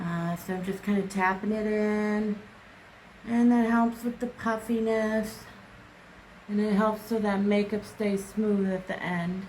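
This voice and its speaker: With an American accent, a woman speaks fairly slowly at a fairly high pitch in a monotone, flat voice, with audible room echo. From US Midwest. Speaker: beauty vlogger. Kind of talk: makeup tutorial.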